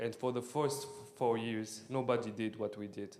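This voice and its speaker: A man speaks at a moderate pace with medium pitch and fairly even intonation. Noticeable background noise runs under the recording. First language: French or Arabic. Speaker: startup founder. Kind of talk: pitch Q&A. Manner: halting.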